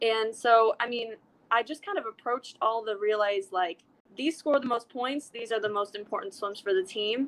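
An ordinary speaking voice with an American accent, at a moderate pace and with ordinary pitch variation. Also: woman, fairly high pitch for a woman. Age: 20s. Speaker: professional swimmer. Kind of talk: interview.

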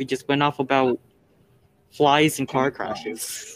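Recorded with a dry, close sound and no echo, a man talks in a plain, everyday voice at a fairly high pitch and a moderate pace. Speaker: student podcast co-host. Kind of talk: casual chat.

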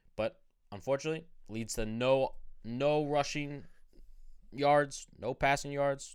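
A man with a fairly high pitch talks with fairly even intonation, broken by long, frequent pauses. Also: fairly slow pace. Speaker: fantasy football podcast host. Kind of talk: casual chat. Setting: studio. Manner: profane, joking.

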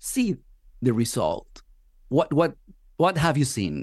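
With a Spanish accent, a man speaks in a fairly high voice with vocal fry and very wide pitch swings. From Venezuela. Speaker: podcast host. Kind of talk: interview.

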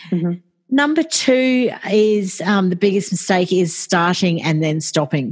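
Her loudness is very even as the woman speaks at a fairly slow pace in an Australian accent with a medium pitch. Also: lively intonation. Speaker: podcast support business owner. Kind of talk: interview conversation. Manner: calm.

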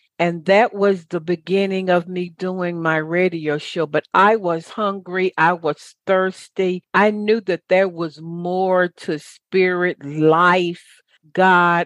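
Speaking very slowly with an American accent, a woman uses a fairly low pitch and monotone, flat intonation. The background is quiet. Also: dry, close sound with no echo. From US South. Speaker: radio talk show host and motivational speaker. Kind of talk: interview.

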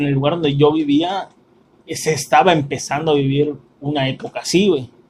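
A man with a Mexican accent talks at a moderate pace in a fairly high, somewhat breathy voice with fairly even intonation. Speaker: podcast host, film reviewer. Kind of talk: casual chat; plot summary.

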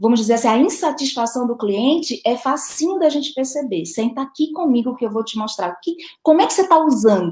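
A woman talks in a high voice whose pitch swings very widely. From Brazil, Recife (Pernambuco). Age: 40s. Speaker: direct sales business owner. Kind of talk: interview.

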